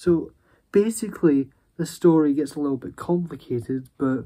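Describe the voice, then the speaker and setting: Fairly slow male speech with ordinary pitch variation and light background noise. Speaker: vlogger. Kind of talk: casual vlog storytelling. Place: home room. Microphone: phone near.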